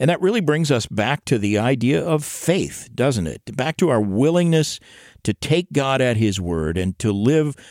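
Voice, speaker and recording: Recorded very cleanly against a silent background, a man speaks at a fairly slow pace with very wide pitch swings. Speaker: radio host. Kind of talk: scripted announcing.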